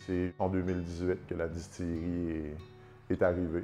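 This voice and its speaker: A man speaks at a moderate pace in a Côte-Nord Quebec accent. Music plays in the background. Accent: Côte-Nord Quebec French, warm. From Havre-Saint-Pierre, Côte-Nord, Quebec. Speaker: distillery founder. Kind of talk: interview answer.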